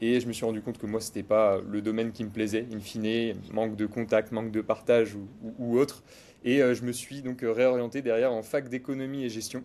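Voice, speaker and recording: This man talks at a fairly quick clip in a medium pitch. His tone is dark and mellow, and his intonation stays monotone and flat. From western France, Cholet (Pays de la Loire). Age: 20s. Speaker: financial advisor. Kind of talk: casual interview. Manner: hesitant, many fillers.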